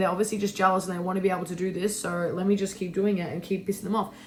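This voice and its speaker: Over noticeable background noise, a woman speaks very quickly. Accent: Australian. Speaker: lifestyle vlogger. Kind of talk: casual chat. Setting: bedroom. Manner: loud; animated.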